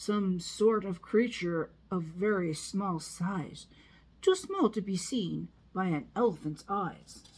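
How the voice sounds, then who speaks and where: A woman does a put-on character voice at a medium pitch. She speaks at a fairly slow pace. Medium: read story.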